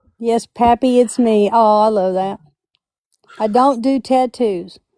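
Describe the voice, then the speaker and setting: In a Southern US accent, a woman with a fairly high pitch and a dark, mellow tone shows ordinary pitch variation in a dry, close sound with no echo. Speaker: live stream host. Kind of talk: casual chat. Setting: live stream. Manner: animated.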